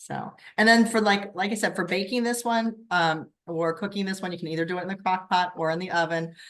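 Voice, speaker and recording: A woman with a medium pitch talks at a fairly quick pace with hardly any pauses. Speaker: direct sales consultant leading a cooking workshop. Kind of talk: online workshop instruction. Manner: fast.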